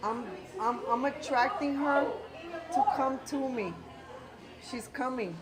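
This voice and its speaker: A woman with a high pitch talks at a very slow pace, pausing long and often. Noticeable background noise can be heard. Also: lively intonation. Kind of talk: casual talk to camera. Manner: code-switching Spanglish.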